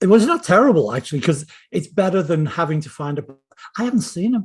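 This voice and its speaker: A man speaks at a fairly quick pace with lively intonation. His is an unremarkable speaking voice. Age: 60s. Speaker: screenwriter and novelist. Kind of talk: casual interview chat.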